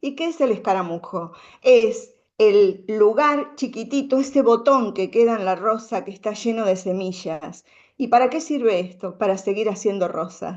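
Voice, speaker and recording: A woman speaks at a fairly slow pace, her pitch fairly high and her intonation lively. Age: 60s. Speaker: women's circle speaker. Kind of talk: conference talk. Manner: halting.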